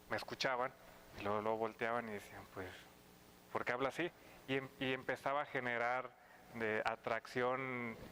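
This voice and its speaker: The voice belongs to a man with a bright, sharp tone and medium pitch. He moves at a moderate pace with fairly even intonation and long, frequent pauses. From Mexico, Sinaloa. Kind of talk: casual chat.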